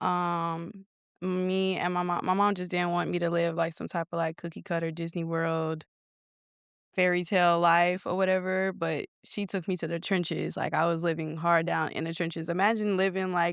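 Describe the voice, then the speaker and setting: In a very clean recording with a silent background, a woman with an American accent speaks at a moderate pace. Her fairly low voice stays monotone and flat. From Chicago. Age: 20s. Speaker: nail artist and salon owner. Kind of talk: podcast interview. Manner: casual, filler-heavy.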